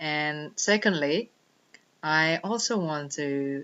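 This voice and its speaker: A woman speaks in a very deep, low pitch with a non-native accent. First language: not English. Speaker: life coach. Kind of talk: personal vlog monologue.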